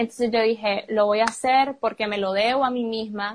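A woman's fairly high voice in a monotone, flat delivery. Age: 20s. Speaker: university student. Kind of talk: personal testimony in casual chat.

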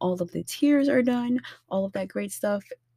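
A woman's voice comes out somewhat breathy. Her pace stays moderate. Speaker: podcast host and tarot reader. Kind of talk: solo podcast monologue with tarot reading. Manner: warm, friendly, casual.

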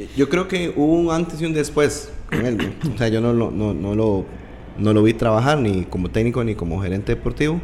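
Very wide pitch swings at a moderate pace, with noticeable background noise. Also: man, medium pitch for a man. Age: 30s. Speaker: podcast host. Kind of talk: interview.

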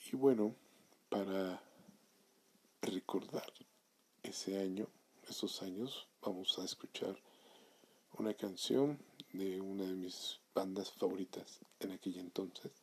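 Ordinary pitch variation at a very slow pace, with long, frequent pauses. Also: man. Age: 30s. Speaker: podcast host. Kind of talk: solo monologue podcast. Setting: home recording at night.

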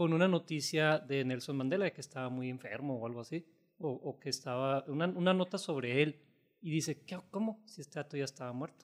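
The delivery has a moderate speed. This man's intonation is lively. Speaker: podcast co-host. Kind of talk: casual chat.

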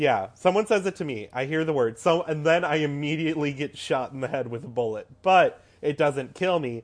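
A man speaks at a fairly high pitch and moderate pace, with hardly any pauses and ordinary pitch variation. It is an unremarkable speaking voice, set against a quiet background. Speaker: podcast co-host. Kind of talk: casual chat.

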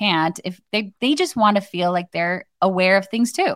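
In an American accent, a woman talks with an unremarkable speaking voice at medium pitch and a moderate pace. Her pitch varies in an ordinary way, and the recording is very clean with a silent background. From Arizona. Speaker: social media marketing expert. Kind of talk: casual chat.

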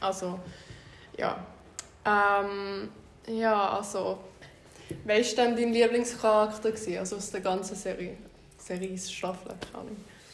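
In a room with audible echo, a woman at medium pitch talks fairly slowly in a flat monotone, with long, frequent pauses and big swings in loudness. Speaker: podcast host. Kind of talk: casual chat.

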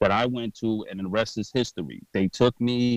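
The speaker has a New York accent, ordinary pitch variation and a moderate pace. The sound is dry and close with no echo, over a quiet background. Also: man. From New York, Brooklyn. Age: 30s. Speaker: podcaster and clothing designer in recovery. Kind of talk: interview. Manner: animated.

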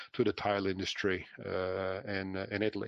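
A man talks with a Dutch accent and a fairly low pitch. The background is quiet. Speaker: franchise business owner. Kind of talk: interview. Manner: halting.

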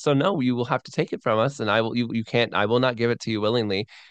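Here a man speaks with an American accent. His pace is fairly quick. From Florida, US. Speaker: missionary and podcaster. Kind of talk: interview conversation. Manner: animated.

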